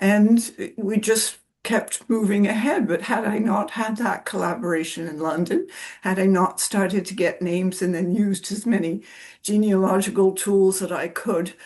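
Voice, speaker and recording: Somewhat breathy, a woman with a Canadian accent speaks at a moderate pace. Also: medium pitch for a woman, fairly even intonation. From Canada. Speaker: genealogy researcher. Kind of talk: panel discussion.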